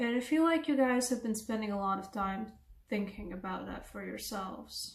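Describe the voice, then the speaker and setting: A woman with a non-native accent and a fairly high voice speaks at a moderate pace with ordinary pitch variation and big swings in loudness, and audible room echo surrounds her. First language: not English. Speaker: tarot reader. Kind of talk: tarot reading to camera. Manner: casual, conversational.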